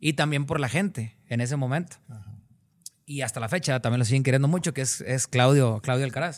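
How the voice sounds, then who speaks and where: In a very clean recording with a silent background, a man talks at a fairly quick pace with ordinary pitch variation. He has a plain, everyday voice. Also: medium pitch for a man. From Cadereyta Jiménez, Nuevo León, northern Mexico. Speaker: singer. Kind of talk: interview.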